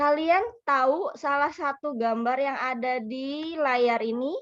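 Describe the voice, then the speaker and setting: Very slow speech from a woman, high in pitch and with ordinary pitch variation. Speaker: teacher trainee doing peer teaching. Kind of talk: classroom teaching.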